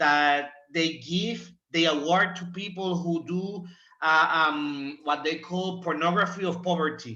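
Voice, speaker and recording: A man with a Spanish accent speaks fairly slowly in a high voice, his intonation fairly even. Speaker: former student, symposium presenter. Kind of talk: panel discussion. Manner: halting.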